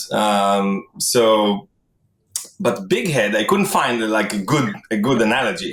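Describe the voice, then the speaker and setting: A man in an Israeli accent at a medium pitch and very slow pace, with very even loudness. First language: Hebrew. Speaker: tech product executive. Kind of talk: casual interview.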